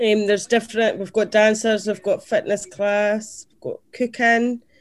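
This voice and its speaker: Her pitch runs fairly high. The woman talks at a fairly slow pace. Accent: southern Scottish. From Scotland, Dumfries. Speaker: community organisation finance director. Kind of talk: casual interview.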